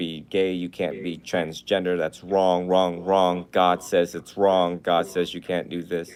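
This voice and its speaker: This man talks at a moderate pace in a very deep, low voice, calm in tone and flat, monotone in intonation. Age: young. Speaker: Buddhist monk. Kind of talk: casual chat.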